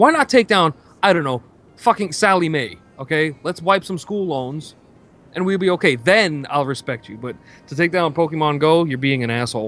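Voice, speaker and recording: Speaking in a New York accent, a man with a fairly high pitch uses lively intonation and big swings in loudness. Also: moderate pace. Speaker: gaming stream co-host. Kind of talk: casual chat. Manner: animated.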